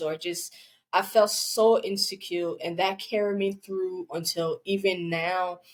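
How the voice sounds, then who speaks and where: A woman with a Liberian accent, medium pitch and a very slow pace. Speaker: podcast guest. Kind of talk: personal testimony.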